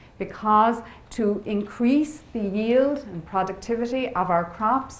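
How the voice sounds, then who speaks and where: A woman speaks with an Irish accent at a fairly slow pace. Her pitch variation is ordinary, and the room echo is audible. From Ireland, west coast. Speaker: biotechnology professor. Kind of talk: lecture.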